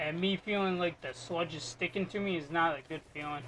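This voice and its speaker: The voice is quiet. It moves at a moderate pace. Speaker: video game streamer. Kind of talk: gameplay live stream commentary.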